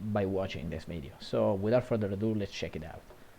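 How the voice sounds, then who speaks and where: This man speaks with an Italian accent at a fairly low pitch. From Italy. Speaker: gaming commentator. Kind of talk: video game match analysis. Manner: halting, frequent fillers and self-corrections.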